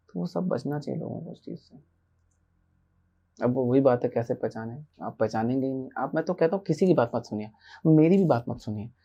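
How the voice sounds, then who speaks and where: With a dark, mellow tone, a man speaks at a moderate pace using lively intonation and big swings in loudness over a quiet background. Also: medium pitch for a man. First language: an Indian language other than Hindi (speaking Hindi). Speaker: spiritual teacher. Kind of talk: podcast interview.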